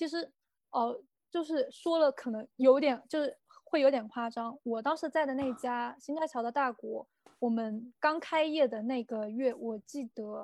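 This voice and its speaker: At a fairly slow pace, a woman with a high pitch speaks in a dry, close sound with no echo. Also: ordinary pitch variation. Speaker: former shop assistant in Japan. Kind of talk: casual chat. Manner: hesitant, many fillers.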